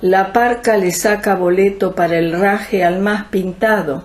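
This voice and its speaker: A woman speaks at a very slow pace in a Rioplatense accent. Noticeable background noise runs underneath. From Argentina. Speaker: writer and poet. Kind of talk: literary reading in lunfardo slang.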